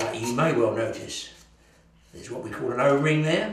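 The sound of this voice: With strong room echo around him, a man talks at a medium pitch.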